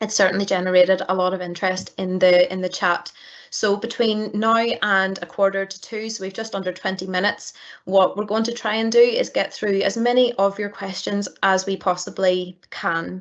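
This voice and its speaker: At a moderate pace, a woman talks in a medium pitch with monotone, flat intonation. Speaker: data protection regulator staff, question moderator. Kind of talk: webinar Q&A moderation. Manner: hesitant with many repeated words.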